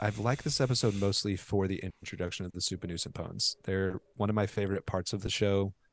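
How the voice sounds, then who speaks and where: A man with an American accent and a normal speaking voice talks at a fairly quick pace, fairly low in pitch with fairly even intonation. The recording is very clean with a silent background, the sound dry and close with no echo. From Oklahoma. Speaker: podcast co-host. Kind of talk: casual chat.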